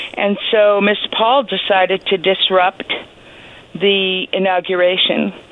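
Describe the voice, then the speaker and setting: Noticeable background noise sits behind a woman with a medium pitch. She speaks very slowly in a monotone, flat intonation. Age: 70s. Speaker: historian of the suffrage movement. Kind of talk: radio interview. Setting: phone call.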